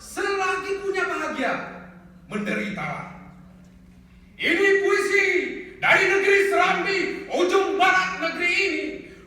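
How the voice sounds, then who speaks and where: A man speaks at a fairly slow pace in a raised, projected voice with an extremely high pitch and an energetic tone, over noticeable background noise. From Aceh. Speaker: poet. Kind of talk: live poetry performance. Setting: live stage. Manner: energetic, fiery; improvised.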